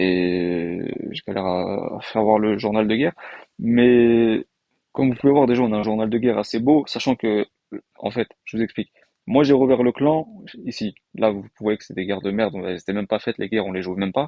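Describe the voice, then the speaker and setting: This man's voice sits fairly low, and his pitch varies in an ordinary way. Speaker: gaming YouTuber. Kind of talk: casual gameplay commentary. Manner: fast; hesitant, many fillers.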